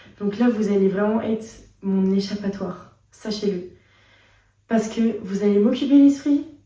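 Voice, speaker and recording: In a room with audible echo, a woman talks at a fairly slow pace with a medium pitch and a dark, mellow, somewhat breathy tone. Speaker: vlogger. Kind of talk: casual vlog chat. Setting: hospital. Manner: animated; chatty.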